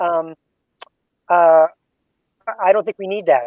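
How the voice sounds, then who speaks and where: Dry, close sound with no echo and ordinary pitch variation. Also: man. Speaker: assistive technology specialist. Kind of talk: tutorial. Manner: fast.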